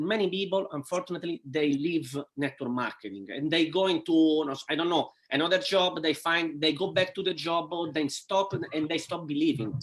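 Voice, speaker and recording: Speaking at a fairly quick pace with an Italian accent, the voice shows ordinary pitch variation. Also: man, high pitch for a man. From Italy. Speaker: network marketing entrepreneur. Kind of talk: interview. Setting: live stream video call. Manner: halting.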